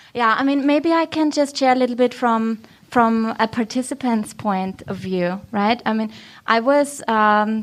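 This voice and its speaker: A woman with an Austrian accent speaks with ordinary pitch variation in a very clean recording with a silent background. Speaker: podcast host. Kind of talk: live panel talk. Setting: stage with audience. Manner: animated, chatty.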